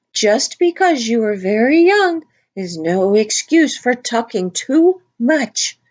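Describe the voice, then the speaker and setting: A woman uses a put-on character voice, high in pitch with very wide pitch swings. She goes at a fairly slow pace. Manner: severe, stern.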